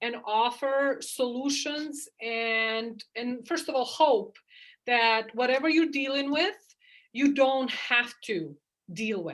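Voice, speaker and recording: A woman with a non-native accent speaks very slowly in a high voice with ordinary pitch variation, on a very clean recording with a silent background. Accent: noticeable foreign. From outside the US, moved to US at fifteen. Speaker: chiropractor. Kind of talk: interview. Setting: call.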